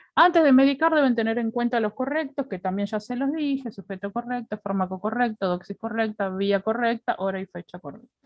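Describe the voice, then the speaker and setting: This woman has a normal speaking voice, pitched fairly high. She talks at a moderate pace with lively intonation. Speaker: nursing instructor. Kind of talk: lecture. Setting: video call.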